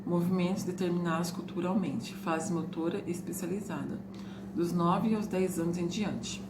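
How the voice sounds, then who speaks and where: A woman's fairly low, monotone, flat voice, with audible room echo and noticeable background noise. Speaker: teacher running an extension course. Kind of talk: recorded lecture, partly reading from a book. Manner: fast, words run together; reading aloud lists from a book.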